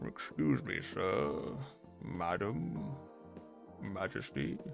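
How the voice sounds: Croaky and very slow, a man performs a put-on character voice over clear music in the background.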